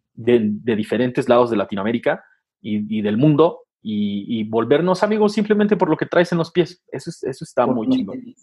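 Speech moves at a fairly quick pace, with very wide swings in pitch. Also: man, medium pitch for a man. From Nezahualcóyotl, Mexico City area. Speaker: sneaker media creator. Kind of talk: casual interview chat.

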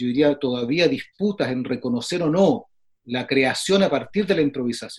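There's an ordinary speaking voice from a man, pitched fairly high. His intonation is lively. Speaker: flutist and music professor. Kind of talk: casual interview. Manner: frequent filler phrases.

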